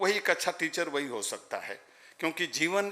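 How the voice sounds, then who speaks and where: Pitch moves in an ordinary way through a bright, sharp-toned voice. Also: man. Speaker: ceremony guest speaker. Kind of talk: ceremonial speech. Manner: formal.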